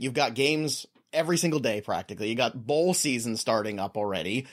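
This is a man speaking at a medium pitch. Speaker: fantasy football podcast host. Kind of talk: casual sports chat. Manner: animated.

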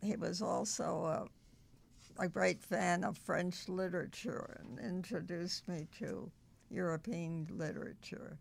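A woman with an American accent, fairly low pitch, vocal fry, ordinary pitch variation, and a very slow pace. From US Northeast. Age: 100s. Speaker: centenarian volunteer worker. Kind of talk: casual interview chat.

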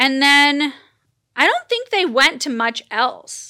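In a raised, projected voice, a woman speaks with an American accent, high pitch and a bright, sharp tone. The recording is very clean and the background silent. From Los Angeles, US. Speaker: podcast host. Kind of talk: casual chat.

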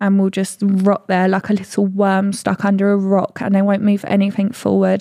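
A woman talks at a moderate pace with a medium pitch and an English accent. Her tone is dark and mellow. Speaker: podcast co-host. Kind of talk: casual chat.

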